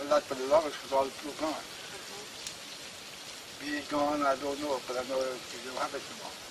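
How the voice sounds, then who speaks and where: At a moderate pace, a man talks while noticeable background noise fills the recording. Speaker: bush medicine practitioner. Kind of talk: interview answer.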